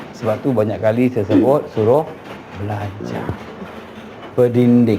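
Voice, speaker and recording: Noticeable background noise and audible room echo accompany speech at a fairly slow pace. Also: man, medium pitch for a man, fairly even intonation. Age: 60s. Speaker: traditional healer. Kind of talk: consultation with clients.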